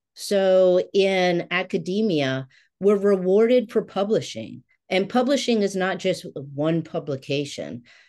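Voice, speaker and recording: With a dark, mellow tone and lively intonation, a woman speaks at a fairly slow pace against a quiet background. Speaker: consultant in philanthropy and academia. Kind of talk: panel discussion. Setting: video call. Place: home room. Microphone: webcam.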